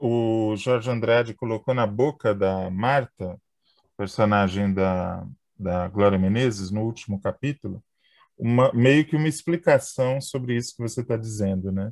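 In a dry, close sound with no echo, a man uses a plain, everyday voice at medium pitch with ordinary pitch variation. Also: fairly slow pace. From interior of São Paulo state. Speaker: podcast host. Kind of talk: casual interview.

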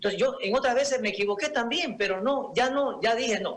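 This man speaks at an extremely high pitch. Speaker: former football referee. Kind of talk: radio interview. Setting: video call.

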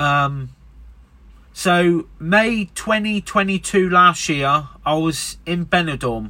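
A man with an English accent speaks at a high pitch in a bright, sharp tone, with ordinary pitch variation. The pace is very slow, and the recording is very clean with a silent background. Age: 30s. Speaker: podcaster. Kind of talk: casual monologue. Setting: in a van.

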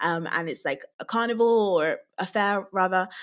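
This is a very clean recording against a silent background. The speaker is a woman with a British accent. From UK. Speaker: podcast co-host. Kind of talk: casual chat.

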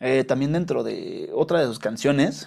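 A man's medium-pitched voice, dark and mellow in tone, with ordinary pitch variation, on a very clean recording with a silent background. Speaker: podcast host. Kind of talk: casual monologue. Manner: halting, with frequent repetitions. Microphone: new small microphone.

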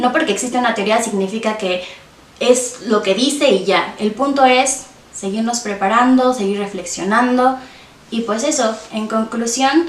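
A woman's fairly high voice at a fairly slow pace, with ordinary pitch variation, audible room echo, and noticeable background noise. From Mexico, Hidalgo (Tasquillo). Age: 20s. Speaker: feminist podcaster. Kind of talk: interview.

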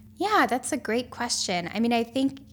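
There is vocal fry in this woman's voice, along with ordinary pitch variation. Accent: American. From US South, rural North Carolina. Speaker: conservation photographer and environmental social scientist. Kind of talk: interview. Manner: animated.

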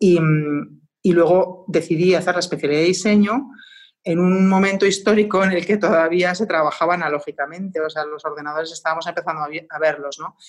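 A woman's ordinary speaking voice, fairly low in pitch, fairly quick, with fairly even intonation. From Spain, Madrid. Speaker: designer and artist. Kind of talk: casual interview.

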